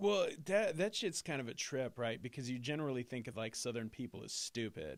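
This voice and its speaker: A man with an Arizona accent and a medium pitch speaks at a fairly quick pace with hardly any pauses and very wide pitch swings. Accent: mild Arizona. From Indiana-born, raised in Arizona. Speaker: podcast host. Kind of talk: casual podcast interview.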